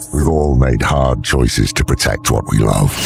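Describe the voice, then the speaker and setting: A man uses a put-on character voice at a moderate pace. Clear background noise can be heard. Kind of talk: dark fantasy narration. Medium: machinima. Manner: grave, solemn narration.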